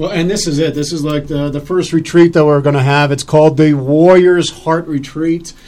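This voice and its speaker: Amid noticeable background noise, a man with a fairly high pitch talks at a moderate pace in a monotone, flat intonation. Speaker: radio talk show host. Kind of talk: live radio interview, casual chat. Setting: radio studio, live broadcast.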